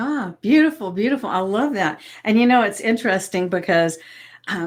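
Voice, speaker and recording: A woman with a Southern US accent at a fairly quick pace and lively intonation, on a very clean recording with a silent background. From US South. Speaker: podcast host, hypnotist and coach. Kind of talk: interview podcast.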